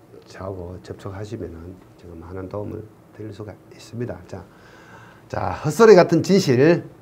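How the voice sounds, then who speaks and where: Set in audible room echo, a man speaks at a moderate pace, fairly low in pitch, with long, frequent pauses. His pitch swings very widely and his loudness rises and falls sharply. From Gyeongsang region, Korea. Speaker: civil engineering exam lecturer. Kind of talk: online lecture. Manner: casual, joking.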